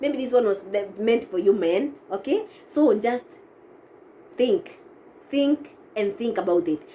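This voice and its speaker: Pausing long and often, a woman talks at a fairly slow pace, her fairly high voice swinging very widely in pitch. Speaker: vlogger. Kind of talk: casual vlog advice. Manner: halting, with self-corrections.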